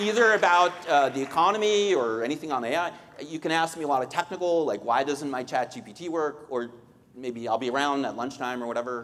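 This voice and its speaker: This man's voice sits fairly high for a man, with lively intonation. He speaks at a fairly quick pace. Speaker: economist. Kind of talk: Q&A session. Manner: fast.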